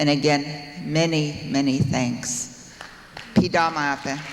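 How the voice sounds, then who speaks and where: A man talks in a fairly high, monotone voice with flat intonation. There is audible room echo and noticeable background noise. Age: 60s. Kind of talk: award acceptance speech. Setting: stage with audience. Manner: formal.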